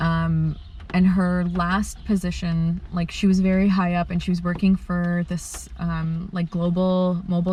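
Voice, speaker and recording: A fairly low-pitched woman's voice in a flat monotone, at a moderate pace, with noticeable background noise. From Kuwait. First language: Arabic. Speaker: bioartist. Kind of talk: interview. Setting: in a car. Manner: halting, many fillers.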